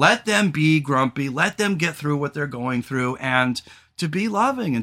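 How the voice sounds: Loud and fairly slow, a man speaks at a fairly high pitch with big pitch swings and a bright, sharp tone.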